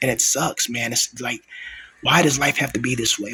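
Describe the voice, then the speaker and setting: A man whispers at a fairly quick pace. Noticeable background noise is present. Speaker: vlogger. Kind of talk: personal vlog monologue. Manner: whispering; soft-spoken.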